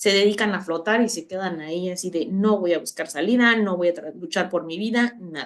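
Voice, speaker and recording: In an ordinary speaking voice, a woman talks at a fairly quick pace and medium pitch, with ordinary pitch variation and hardly any pauses. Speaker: university lecturer. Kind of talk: online lecture.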